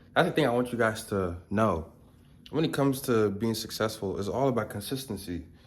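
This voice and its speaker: A man at a medium pitch and a fairly quick pace, with audible room echo. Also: ordinary pitch variation. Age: 20s. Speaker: self-improvement vlogger. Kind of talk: casual vlog talk to camera. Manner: fast.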